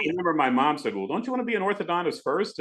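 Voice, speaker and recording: Over noticeable background noise, a man with an American accent swings his pitch very widely. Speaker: radio broadcaster. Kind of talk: podcast interview answer.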